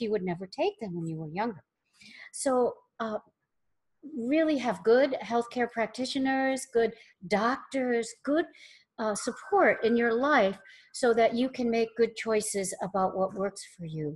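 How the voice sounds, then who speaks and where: A woman with an unremarkable speaking voice talks at a fairly high pitch and a fairly slow pace. Her intonation is lively, and the background is quiet. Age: 60s. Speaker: spiritual teacher. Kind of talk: webinar discussion.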